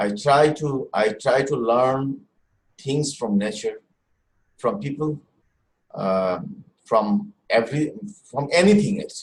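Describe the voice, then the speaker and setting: With a Bengali accent, a man speaks somewhat breathily at a fairly high pitch and a fairly slow pace. His pitch swings very widely, broken by long, frequent pauses. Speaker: musician. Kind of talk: panel discussion. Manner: halting.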